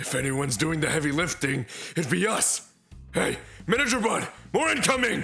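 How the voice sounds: Faint music sits behind a man's put-on character voice, bright and sharp in tone, fairly high-pitched with big pitch swings and vocal fry, at a moderate pace.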